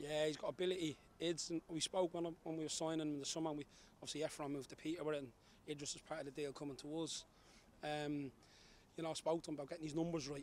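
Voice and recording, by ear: Fast and fairly high in pitch, a man talks with little pitch movement and a slightly mellow tone.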